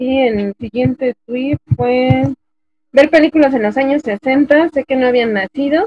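Loud and high-pitched, a woman talks at a fairly slow pace with ordinary pitch variation. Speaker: podcast co-host. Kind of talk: casual chat. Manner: speaking as loudly as she can. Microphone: low volume, technical problems.

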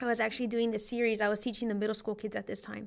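The woman's voice is fairly high in pitch, with monotone, flat intonation. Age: 20s. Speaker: church youth minister. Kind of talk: testimony.

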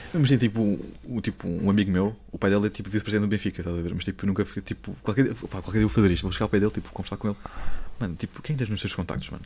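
Talking at a very fast pace, a man uses a dark, mellow tone with a fairly low pitch, ordinary pitch variation and vocal fry. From Lisbon, Portugal. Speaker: TikTok content creator. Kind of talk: casual chat.

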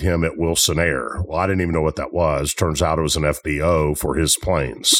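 A man with a very deep, low voice and a Tennessee accent speaks at a moderate pace with hardly any pauses, his loudness very even and his intonation flat and monotone. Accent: Southern US (Tennessee). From US South, Memphis, Tennessee. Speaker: football coach and business owner. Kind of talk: interview.

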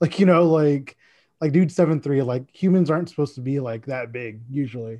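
A man with an American accent, fairly high pitch, dark, mellow tone, ordinary pitch variation and a fairly quick pace over a quiet background. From Dallas, Texas. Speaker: sports social media account runner. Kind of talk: casual chat.

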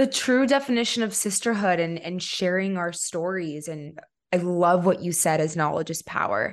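Using an ordinary speaking voice, a woman with a fairly low pitch speaks at a moderate pace with lively intonation. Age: 20s. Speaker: podcast host. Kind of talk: interview.

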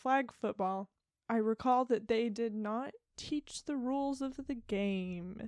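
A woman with a plain, everyday voice and fairly high pitch speaks at a fairly slow pace with ordinary pitch variation in a dry, close sound with no echo. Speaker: podcast co-host. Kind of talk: casual chat.

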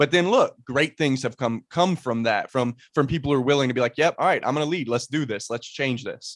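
This very clean recording has a silent background and a dry, close sound with no echo. A man with an ordinary speaking voice and fairly high pitch talks at a fairly quick pace with hardly any pauses and ordinary pitch variation. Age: 20s. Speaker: podcast host. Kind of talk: casual interview chat.

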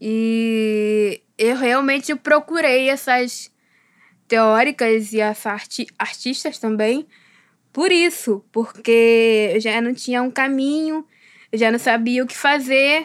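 A woman speaks at a high pitch and a very slow pace, with ordinary pitch variation. The recording is very clean, with a silent background. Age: 20s. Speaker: philosophy student, visual artist and writer. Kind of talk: interview.

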